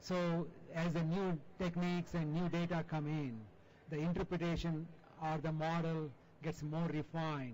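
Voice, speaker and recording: A man with a fairly high pitch and an Indian accent. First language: non-English Indian language. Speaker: journal editor and chemistry professor. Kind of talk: panel discussion.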